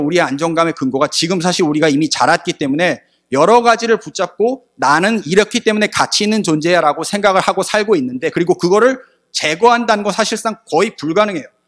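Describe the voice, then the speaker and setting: An animated, high-pitched male voice, fairly quick and lively in intonation, with a dry, close sound and no echo. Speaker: preacher. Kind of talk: sermon. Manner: fast.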